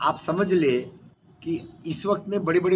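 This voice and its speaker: There's noticeable background noise behind this man, whose high pitch shows ordinary variation. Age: 70s. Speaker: retired civil servant and speaker on cooperatives. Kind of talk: interview. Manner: emphatic, repetitive.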